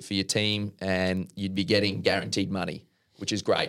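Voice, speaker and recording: A man with an Australian accent talks at a moderate pace and fairly low pitch on a very clean recording with a silent background. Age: 30s. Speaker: professional tennis player. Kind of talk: interview.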